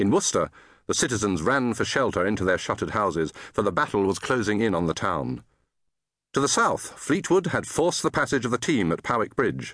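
Against a quiet background, a man with a fairly low pitch and vocal fry talks at a fairly quick pace with very wide pitch swings and very even loudness. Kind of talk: scripted audiobook narration of historical fiction. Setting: studio.

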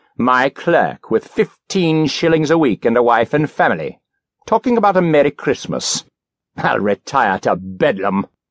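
A man does a put-on character voice, growling at a fairly high pitch with very wide pitch swings at a moderate pace. His loudness stays very even, and the sound is dry and close with no echo. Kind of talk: classic audiobook character voice. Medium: read story. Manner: indignant, scornful, growling.

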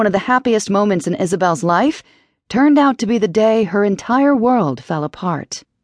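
Behind this natural reading voice, the background stays quiet.

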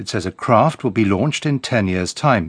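Over a quiet background, a man with a British accent speaks at a moderate pace with lively intonation, the sound dry and close with no echo. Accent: British (BBC English). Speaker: radio newsreader. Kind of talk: formal bulletin newsreading, crisp headline-by-headline delivery. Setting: studio. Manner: measured and authoritative, even-paced; neutral, detached broadcast tone.

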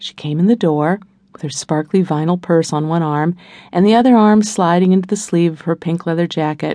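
A woman speaks at a moderate pace in a fairly low pitch, in a plain, everyday voice with ordinary pitch variation over a quiet background.

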